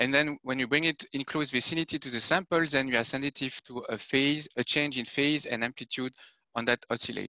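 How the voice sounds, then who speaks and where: With a French accent, a man speaks at a fairly quick pace in a bright, sharp tone and fairly high pitch, his intonation fairly even, in a dry, close sound with no echo. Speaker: application scientist giving a tutorial. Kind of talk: technical tutorial. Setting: video conference. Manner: hesitant with frequent fillers.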